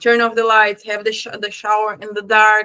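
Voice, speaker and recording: With a slight Brazilian accent, a woman talks at a fairly high pitch. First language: Portuguese. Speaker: spiritual teacher. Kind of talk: tutorial. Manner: casual; halting.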